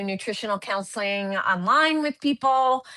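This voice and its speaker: A woman speaks with a fairly high pitch and lively intonation. Her tone is bright and sharp. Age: 60s. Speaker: nurse and health coach. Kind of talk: casual chat.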